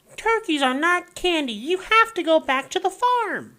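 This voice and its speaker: Using a put-on character voice, a man sounds squeaky at an extremely high pitch. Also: moderate pace. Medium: read story.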